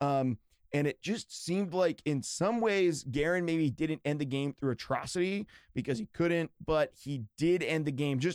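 Speaking fairly slowly with an American accent, a man has a normal speaking voice, a fairly high pitch and ordinary pitch variation, in a dry, close sound with no echo. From western Pennsylvania. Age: 30s. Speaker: podcast host. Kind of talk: casual chat.

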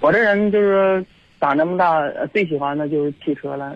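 Pitch shifting in a normal way, a man talks at a medium speed. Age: 30s. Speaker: hotel security guard, caller. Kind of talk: phone-in chat. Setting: phone call. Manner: halting.

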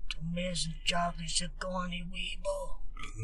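A man uses a put-on character voice, raised and projected. He goes at a fairly slow pace over noticeable background noise. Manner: tough, protective.

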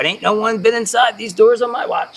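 Putting on a character voice, a man talks at a fairly quick pace and high pitch, with a fairly bright tone, a slightly husky edge and fairly even intonation.

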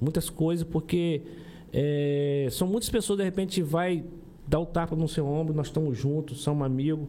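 In a normal speaking voice, a man with a fairly high pitch speaks at a moderate pace, his loudness very even and his intonation fairly even. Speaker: podcast co-host. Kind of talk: casual interview chat.

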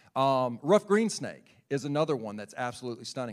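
On a very clean recording with a silent background, a man with a Southern US accent speaks at a medium pitch and a fairly quick pace. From South Carolina, Lexington area. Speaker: birding enthusiast and nature teacher. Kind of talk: sermon talk to congregation.

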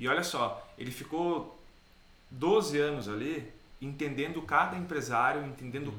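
Audible room echo surrounds a man speaking at a moderate pace. His pitch is fairly high, with ordinary variation. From Caxias do Sul, southern Brazil. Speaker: business trainer. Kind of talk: casual chat.

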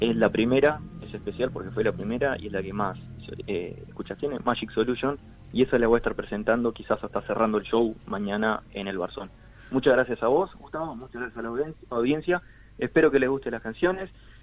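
A man's plain, everyday voice at medium pitch, fairly quick, with ordinary pitch variation and big swings in loudness. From Uruguay, Artigas (northern border). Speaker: singer-songwriter. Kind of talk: radio interview.

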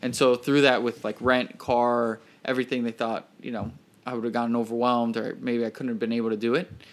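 At a fairly quick pace, a man with an American accent speaks at a medium pitch in a monotone, flat intonation, on a very clean recording with a silent background. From Miami, Florida. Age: 20s. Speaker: videographer and entrepreneur. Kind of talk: casual interview.

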